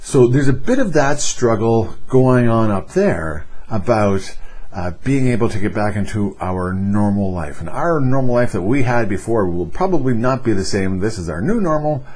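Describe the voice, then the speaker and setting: A man with a Canadian accent speaks at a moderate pace and medium pitch with lively intonation. Audible room echo surrounds his voice. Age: 50s. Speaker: vlogger. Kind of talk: casual vlog update. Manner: hesitant, many fillers and repeats.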